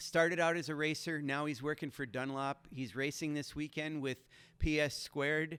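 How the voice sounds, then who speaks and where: A man speaks at a moderate pace with a fairly high pitch and flat, monotone intonation. The recording is very clean, with a silent background. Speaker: motorsport show host. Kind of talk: podcast-style interview talk.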